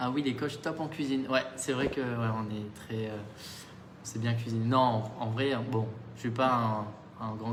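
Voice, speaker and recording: A man speaks in a calm tone at a medium pitch and a moderate pace, with fairly even intonation and long, frequent pauses. Noticeable background noise and audible room echo are present. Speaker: fitness coach. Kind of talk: live stream chat with viewers.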